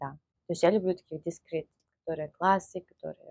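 A woman's fairly low voice, dark and mellow in tone, at a fairly quick pace with fairly even intonation and a dry, close sound free of echo. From Russia, Moscow. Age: 20s. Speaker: dating coach. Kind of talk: interview.

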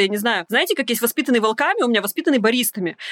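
A woman speaks with lively intonation. The sound is dry and close with no echo, though there is noticeable background noise. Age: 30s. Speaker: coach and psychologist. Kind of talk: casual chat.

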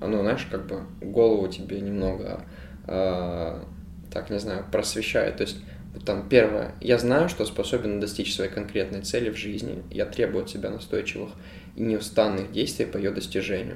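A man's fairly low-pitched voice with vocal fry, ordinary pitch variation and a moderate pace. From Ukraine. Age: 20s. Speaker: podcast co-host. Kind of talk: casual chat.

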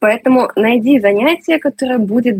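Pitch moves in an ordinary way as a woman talks. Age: 30s. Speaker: amateur sports enthusiast. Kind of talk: interview. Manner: animated.

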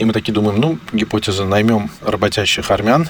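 A man's fairly low voice at a moderate pace, with noticeable background noise. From Armenian roots, raised culturally in Russia. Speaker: digital agency executive. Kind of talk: interview.

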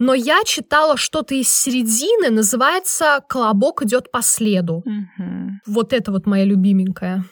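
A woman with an ordinary speaking voice, fairly high-pitched and lively in intonation, at a moderate pace in a dry, close sound with no echo. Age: 20s. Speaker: podcast co-host. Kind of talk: casual chat.

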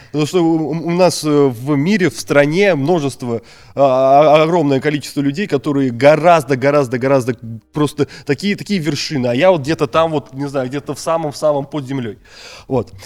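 A man talks at a moderate pace. Behind him, music can be heard. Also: fairly high pitch for a man, ordinary pitch variation. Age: 20s. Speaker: school teacher and deputy principal. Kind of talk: interview conversation. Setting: studio. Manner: halting.

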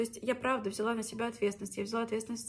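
Through noticeable background noise, a woman talks very fast at a fairly high pitch. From Russia, Orenburg region (Orsk). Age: 20s. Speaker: podcaster, former teacher. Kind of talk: personal story monologue.

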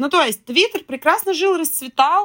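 A woman's voice is raised and projected, with a bright, sharp tone. She speaks at a moderate pace. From Russian Far East and Moscow region. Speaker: marketing and PR specialist. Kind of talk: casual chat.

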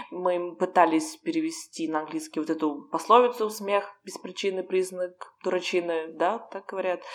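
Over noticeable background noise, a woman at medium pitch speaks at a moderate pace with hardly any pauses, ordinary pitch variation and big swings in loudness. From Russia. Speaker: podcast co-host, Russian expat. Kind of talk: casual chat.

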